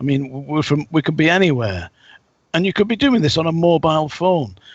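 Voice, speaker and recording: With lively intonation and a fairly quick pace, a man with an English accent speaks at a fairly high pitch. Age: 60s. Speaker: psychic and ex-soldier. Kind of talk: casual interview talk.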